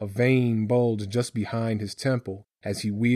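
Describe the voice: The plain reading aloud has fairly even intonation over a quiet background.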